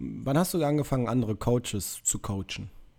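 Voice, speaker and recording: A man's dark, mellow voice at medium pitch and a moderate pace, on a very clean recording with a silent background. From Münster, north-western Germany. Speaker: podcast co-host, personal trainer. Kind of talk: casual chat.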